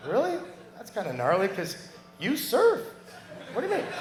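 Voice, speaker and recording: Against noticeable background noise and audible room echo, a man with an American accent speaks in an animated tone with very wide pitch swings. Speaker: surfer giving a memorial tribute. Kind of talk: memorial speech. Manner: fast, kinetic.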